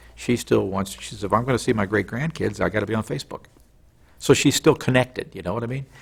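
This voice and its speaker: Talking at a very fast pace with an American accent, a man with a medium pitch shows vocal fry and ordinary pitch variation. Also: big swings in loudness. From US Midwest. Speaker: television news correspondent. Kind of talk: interview. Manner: animated.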